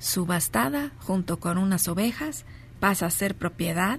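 A woman with a Mexican accent talks at a very slow pace. Her medium-pitched voice is somewhat breathy. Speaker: spiritual speaker and radio host. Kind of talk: live radio talk show; reading aloud. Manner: animated.

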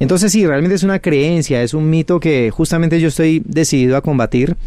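The tone is dark and mellow, with ordinary pitch variation. Delivery moves at a fairly quick pace. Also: man. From Colombia, Cali. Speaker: math teacher and educational youtuber. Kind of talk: interview. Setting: radio studio.

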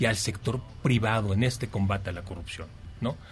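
Here a man is speaking. His pace is fairly quick. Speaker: government official. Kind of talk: interview. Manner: formal.

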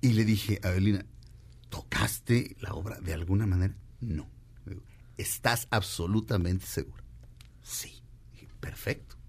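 A man with fairly low pitch and vocal fry uses lively intonation. He leaves long, frequent pauses. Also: fairly slow pace. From Mexico. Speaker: radio host. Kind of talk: casual chat. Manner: animated.

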